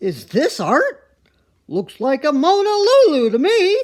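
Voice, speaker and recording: A put-on character voice pitched high and delivered at a fairly slow pace. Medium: read story. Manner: barking, brusque.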